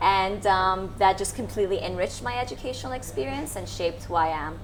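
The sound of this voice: A woman's medium-pitched voice with an American accent, ordinary pitch variation and a fairly quick pace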